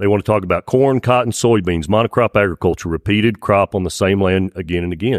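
Very fast speech in a West Texas accent, with ordinary pitch variation. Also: man, fairly low pitch for a man. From Texas High Plains. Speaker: cotton farmer and winery owner. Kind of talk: live panel discussion. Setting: stage with audience.

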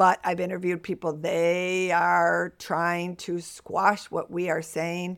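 A woman with an American accent speaks very slowly in a flat, monotone way with hardly any pauses, on a very clean recording with a silent background. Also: fairly low pitch for a woman. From US Northeast, Buffalo, New York. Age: 60s. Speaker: household toxins specialist. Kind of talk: interview.

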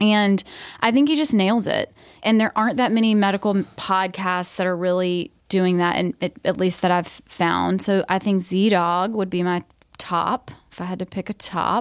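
A woman with an American accent speaks at a moderate pace and medium pitch with ordinary pitch variation, a plain, everyday voice in a dry, close sound with no echo. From US South, Georgia. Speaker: nurse practitioner and podcast host. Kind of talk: casual interview chat. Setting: studio.

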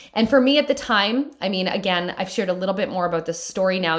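A woman's warm, animated tone at a fairly quick pace, with ordinary pitch variation, on a very clean recording with a silent background. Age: 30s. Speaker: podcast host. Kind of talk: pep talk. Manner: fired up, animated, upbeat; warm, encouraging, direct address.

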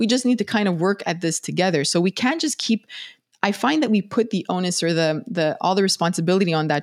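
Over a silent background in a very clean recording, a woman speaks very fast at a medium pitch with lively intonation. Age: 40s. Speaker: neuroscientist and podcast host. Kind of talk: casual interview chat.

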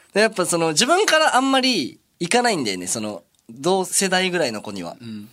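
A man talks at a fairly quick pace. His loudness swings widely from moment to moment. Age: 20s. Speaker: idol group member. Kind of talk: casual chat.

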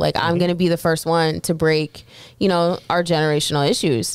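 In an American accent, a normal speaking voice moves along at a fairly quick pace. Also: woman. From US military bases (Army brat). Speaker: army veteran and school board candidate. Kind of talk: casual chat.

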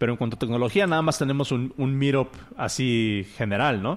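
The pace of this man's speech is moderate. Ordinary variation runs through his pitch. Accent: Mexican. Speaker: podcast host. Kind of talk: casual chat. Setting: live stream.

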